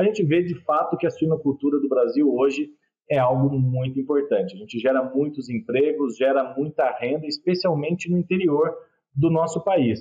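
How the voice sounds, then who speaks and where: Moderate speech from a man, ordinary pitch variation, a quiet background behind him. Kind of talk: interview answer. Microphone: video call.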